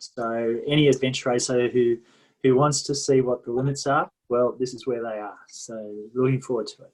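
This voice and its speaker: A man talks at a fairly quick pace with an Australian accent. His pitch is medium. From Sydney, Australia. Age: 60s. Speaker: adventure racer. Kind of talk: team introduction video.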